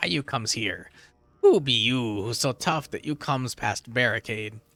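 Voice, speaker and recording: Using a put-on character voice, a man talks at a medium pitch. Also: moderate pace. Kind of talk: broken grammar. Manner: gruff, barking.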